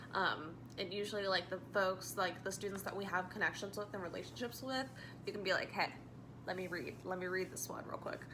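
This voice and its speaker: Spoken at a fairly quick pace with ordinary pitch variation, the voice carries audible room echo over noticeable background noise. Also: woman, medium pitch for a woman. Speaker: student teacher. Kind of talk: spoken reflection. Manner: loud and expressive; casual with many fillers.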